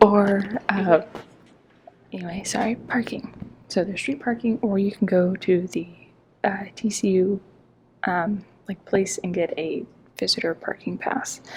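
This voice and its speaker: A soft-spoken woman talks at a fairly slow pace with long, frequent pauses. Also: medium pitch for a woman, fairly even intonation. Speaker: travel vlogger. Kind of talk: casual vlog narration. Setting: museum on a university campus. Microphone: quiet, may be hard to hear.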